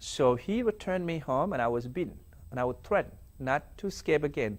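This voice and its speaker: In a South Sudanese accent, a man talks at a moderate pace with lively intonation on a very clean recording with a silent background. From South Sudan (Dinka). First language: Dinka. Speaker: former slave, survivor. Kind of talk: testimony interview. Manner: halting.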